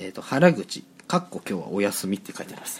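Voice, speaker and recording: A man speaks with very wide swings in pitch. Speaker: student podcast co-host. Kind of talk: casual chat.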